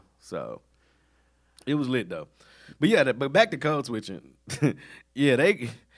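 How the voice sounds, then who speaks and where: Using an American accent, a man with a fairly high voice and vocal fry talks fairly slowly with long, frequent pauses and very wide pitch swings. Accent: Southern US, comes out fully when angry. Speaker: podcast co-host. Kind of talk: casual chat. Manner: animated.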